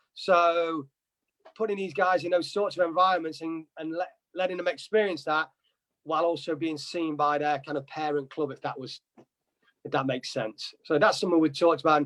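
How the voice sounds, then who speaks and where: This man talks at a fairly quick pace in an East Midlands accent. His intonation stays fairly even. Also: fairly high pitch for a man. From England, Nottingham. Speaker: soccer coach. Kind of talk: interview.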